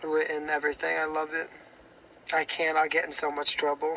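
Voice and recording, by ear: A man's raspy, hoarse voice, fairly high and bright, sharp in tone, monotone and flat, at a moderate pace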